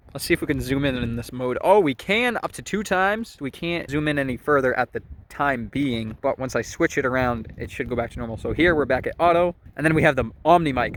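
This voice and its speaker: A man speaks in a normal speaking voice with a fairly high pitch. His intonation is lively. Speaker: tech reviewer. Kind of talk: tutorial.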